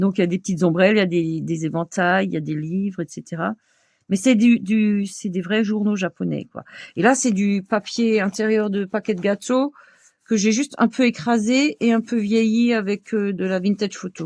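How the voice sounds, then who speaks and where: A woman with an Alsatian accent and medium pitch talks at a moderate pace, the sound dry and close with no echo. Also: ordinary pitch variation. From Alsace, France. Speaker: crafts video creator. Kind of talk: tutorial. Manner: casual, hesitant with fillers.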